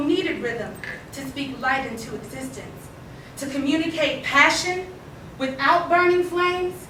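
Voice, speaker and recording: A woman projects a raised, high-pitched voice at a fairly slow pace with ordinary pitch variation. Audible room echo and noticeable background noise accompany her. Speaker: poet. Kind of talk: poetry reading. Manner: loud.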